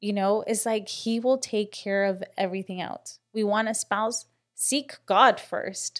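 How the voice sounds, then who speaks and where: A woman speaks in an ordinary speaking voice, her pitch fairly high. She talks at a fairly slow pace with fairly even intonation over a quiet background. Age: 30s. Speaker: podcast co-host. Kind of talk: casual faith-based chat.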